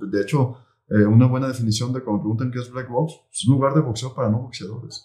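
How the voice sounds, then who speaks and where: Somewhat breathy, a man's voice carries a Mexican accent and a dark, mellow tone. His pitch is medium, with ordinary variation. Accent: Mexican Spanish (Jalisco). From Mexico, Jalisco (Tala, near Guadalajara). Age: 40s. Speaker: entrepreneur, boxing gym founder. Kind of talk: interview. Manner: halting, many fillers and repetitions.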